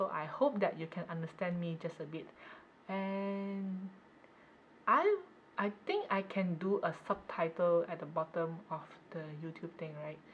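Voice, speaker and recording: A woman speaks fairly slowly in a strong Malaysian accent, her pitch fairly low and her voice somewhat breathy. Her intonation stays fairly even, broken by long, frequent pauses. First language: Cantonese. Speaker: knitting podcaster. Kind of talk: casual chat.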